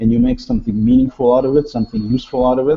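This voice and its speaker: Somewhat breathy, a man of medium pitch speaks with fairly even intonation. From Russia (Soviet Union). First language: Russian. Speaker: software developer. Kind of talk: casual interview chat.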